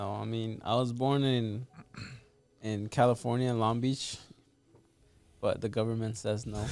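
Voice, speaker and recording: A man with a Spanish accent, medium-pitched and flat, at a moderate pace with long, frequent pauses. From Mexico. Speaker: realtor and real estate investor. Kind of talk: casual podcast interview.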